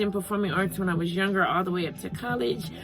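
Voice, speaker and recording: A woman's medium-pitched voice with ordinary pitch variation, audible room echo and music in the background. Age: 40s. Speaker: vlogger and actor. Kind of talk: casual vlog talk to camera. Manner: halting with frequent fillers.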